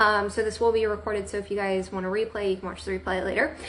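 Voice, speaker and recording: Here a woman speaks with an American accent. Noticeable background noise can be heard. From Central Florida, US. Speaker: direct sales director and trainer. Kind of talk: live video training. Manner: casual, many fillers.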